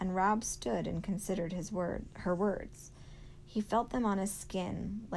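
The natural reading voice holds a fairly even intonation.

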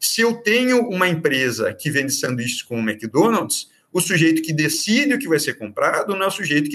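The voice has a bright, sharp tone and very wide pitch swings, moving at a moderate pace. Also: man. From Brazil, Curitiba (Paraná). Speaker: public prosecutor. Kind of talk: interview on law. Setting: remote recording. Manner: halting, many fillers.

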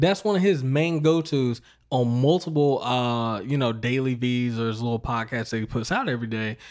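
An ordinary speaking voice from a man with an American accent, medium pitch, lively intonation, a fairly quick pace and hardly any pauses. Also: very clean recording, silent background. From US South, North Carolina. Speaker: podcast host. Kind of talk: casual interview chat.

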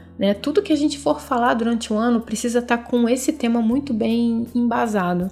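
A woman talks fairly quickly in a plain, everyday voice, fairly high in pitch with ordinary pitch variation. Her loudness stays very even and she hardly pauses. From Brazil, Rio de Janeiro. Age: 30s. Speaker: podcast host. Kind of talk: solo self-help podcast talk.

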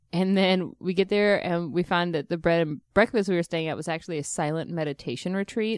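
A woman's ordinary speaking voice with an American accent, fairly low pitch, ordinary pitch variation and a fairly quick pace, in a dry, close sound with no echo. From Texas. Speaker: comedian. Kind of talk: casual chat.

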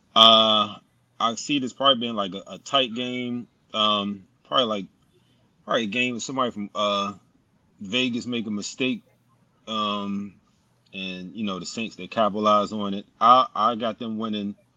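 A man talks at a moderate pace with a fairly low pitch and long, frequent pauses. His loudness swings widely over a quiet background. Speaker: panelist, football fan. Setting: in a studio, watching game. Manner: excited.

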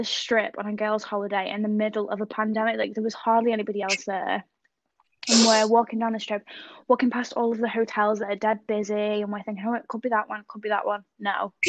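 A woman with an English accent talks very fast at a fairly high pitch. Her intonation is monotone and flat, and the background is quiet. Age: 20s. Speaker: podcast co-host. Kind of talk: casual chat.

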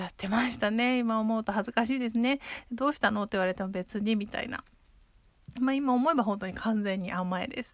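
This is an unremarkable speaking voice from a woman with a fairly high pitch and ordinary pitch variation. Her loudness swings a lot. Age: 30s. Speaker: podcast host. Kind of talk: casual monologue. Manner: frequent fillers.

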